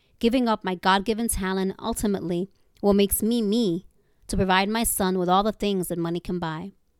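A woman speaks in a plain, everyday voice at a fairly quick pace with fairly even intonation. The sound is dry and close with no echo, on a very clean recording with a silent background. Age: 40s. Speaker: writer. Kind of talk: reading aloud.

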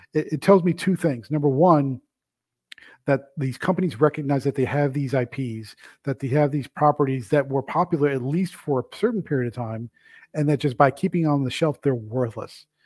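An ordinary speaking voice from a man, fairly high in pitch, with ordinary pitch variation, a moderate pace, and a dry, close sound with no echo in a very clean recording with a silent background. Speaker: comics publisher and editor, host. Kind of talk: solo video commentary / op-ed. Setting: recorded video, solo. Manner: conversational, casual.

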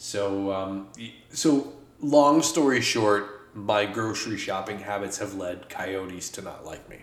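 A man talks slowly-ish, at a fairly slow pace, in a fairly low pitch. His volume swings widely over noticeable background noise. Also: ordinary pitch variation. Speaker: podcast co-host. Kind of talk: casual banter. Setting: studio.

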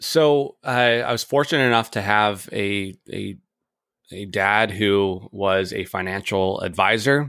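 A man is speaking in a bright, sharp tone. The recording is very clean, with a silent background. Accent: American. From US Pacific Northwest (Edmonds, Washington). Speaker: financial planner and firm founder. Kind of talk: casual interview.

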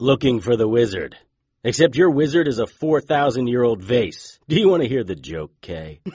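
Speaking at a moderate speed, a man lets his pitch swing very widely. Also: medium pitch for a man. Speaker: fictional private investigator and narrator. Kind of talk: horror audio drama with noir-style first-person narration. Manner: growls defiant insults, sarcastic and gruff in the tense confrontations.

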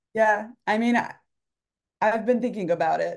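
A woman with a plain, everyday voice talks at a fairly quick pace with ordinary pitch variation. The background is quiet. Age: 40s. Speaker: writer and newsletter author. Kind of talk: casual interview chat.

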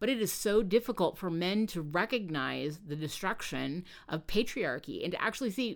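Lively intonation in plain reading aloud

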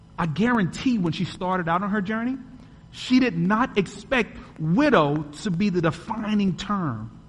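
This man talks at a moderate pace in a high pitch with a dramatic tone and lively intonation, amid noticeable background noise and audible room echo. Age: 30s. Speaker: podcast host and guest preacher. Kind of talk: Sunday sermon from the pulpit, rhetorical questions and testimony. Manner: dramatic, building cadence with rhetorical questions; earnest, rhythmic repetition of paired phrases.

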